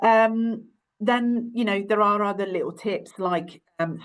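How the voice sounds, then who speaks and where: A woman speaks at a moderate pace with an Italian accent and ordinary pitch variation. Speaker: university careers adviser. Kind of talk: webinar presentation. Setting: online webinar. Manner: hesitant, many fillers.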